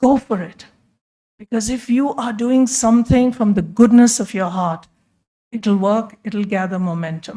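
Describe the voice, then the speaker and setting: A woman with a fairly high pitch speaks in a dark, mellow, somewhat breathy tone, her pitch varying in an ordinary way. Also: moderate pace. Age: 60s. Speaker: physician and hospital leader. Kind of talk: conference talk.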